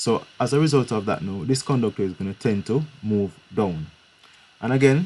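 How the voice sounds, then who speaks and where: Against a quiet background, a man talks in a normal speaking voice at a medium pitch and moderate pace, with lively intonation. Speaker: physics teacher. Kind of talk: live online lesson.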